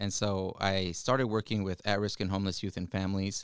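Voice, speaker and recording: Talking very fast in a Spanish accent, a man with a fairly low voice is recorded very cleanly, dry and close with no echo and a silent background. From Yakima Valley, Washington, US. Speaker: state legislator. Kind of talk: interview. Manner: halting.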